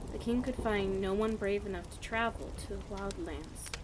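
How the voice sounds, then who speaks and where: Noticeable background noise surrounds a woman who speaks in a relaxed tone at a moderate pace. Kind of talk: bedtime story reading. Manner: stutters at times; quiet, relaxed.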